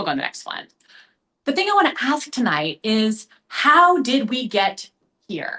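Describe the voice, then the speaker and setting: Speaking with an American accent, a woman uses a high pitch and a bright, sharp tone with very wide pitch swings, moving at a moderate pace with long, frequent pauses. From US South, Memphis, Tennessee. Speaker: history professor. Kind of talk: lecture.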